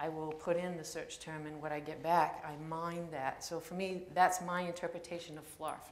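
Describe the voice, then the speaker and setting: Noticeable background noise and audible room echo surround a woman's voice. She talks at a moderate pace with a fairly low pitch and monotone, flat intonation. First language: French. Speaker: poet. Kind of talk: introduction before a poetry reading. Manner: halting, many fillers.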